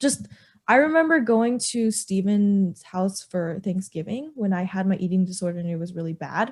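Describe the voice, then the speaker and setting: A woman speaks loud and animated at a moderate pace, her pitch swinging very widely against a quiet background. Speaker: podcast co-host. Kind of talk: casual chat.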